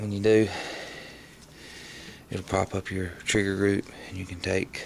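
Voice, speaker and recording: The speech moves at a fairly slow pace with monotone, flat intonation. Noticeable background noise runs underneath. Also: man, fairly low pitch for a man. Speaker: firearms hobbyist. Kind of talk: tutorial walkthrough.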